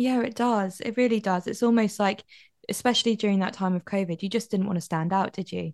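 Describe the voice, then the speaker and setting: Against a quiet background, a woman with a British accent speaks at a fairly quick pace in a medium pitch, with fairly even intonation. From UK. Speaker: podcast host. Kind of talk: interview.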